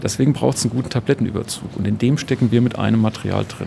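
Over noticeable background noise, a man at a medium pitch speaks at a very fast pace with fairly even intonation. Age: 50s. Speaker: company spokesperson. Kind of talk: interview. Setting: on-site at company open evening.

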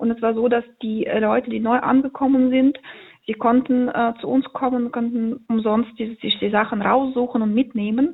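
A woman with a high-pitched voice talks at a moderate pace, her intonation monotone and flat. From central Ukraine (Poltava region, Kremenchuk). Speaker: volunteer aid organizer. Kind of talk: phone interview. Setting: phone call.

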